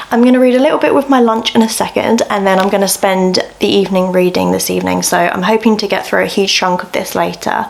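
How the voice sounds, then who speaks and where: Over noticeable background noise, someone talks very fast with an English accent and hardly any pauses. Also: woman. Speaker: book vlogger. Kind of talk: vlog. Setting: at home. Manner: casual, chatty; soft-spoken.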